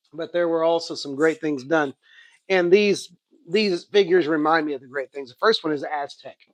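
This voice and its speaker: The speaker has an Oklahoma accent. The loudness swings a lot. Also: man, high pitch for a man, fairly even intonation, moderate pace, quiet background. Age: 50s. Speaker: comic book and toy collector, YouTuber. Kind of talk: casual haul video monologue. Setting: sitting on home couch. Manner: halting, many fillers and restarts.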